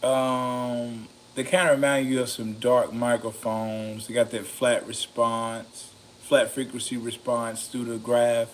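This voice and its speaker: A man speaks at medium pitch and a fairly slow pace. His intonation is monotone and flat. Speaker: mic reviewer, video creator. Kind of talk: casual review talk. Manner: halting, many fillers.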